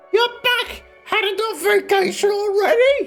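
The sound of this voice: An extremely high put-on character voice at a moderate pace, with faint music in the background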